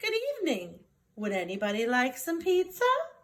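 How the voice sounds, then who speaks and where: In a put-on character voice, a woman speaks at a fairly quick pace, her high pitch making very wide swings. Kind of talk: bedtime story. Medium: read story. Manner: brisk, determined.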